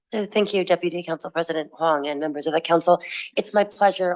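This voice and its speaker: A woman rattles off lines very fast in a put-on character voice that is hoarse and raspy, fairly low in pitch, with fairly even intonation. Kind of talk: formal, council meeting.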